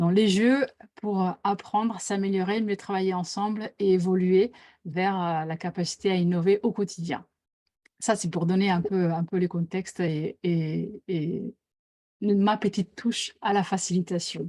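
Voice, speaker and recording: Dark and mellow in tone, a woman's voice sits at a medium pitch with fairly even intonation and a fairly slow pace. The sound is dry and close with no echo, on a very clean recording with a silent background. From Italy. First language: Italian (speaking French). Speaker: team facilitator. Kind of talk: interview. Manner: hesitant, many fillers.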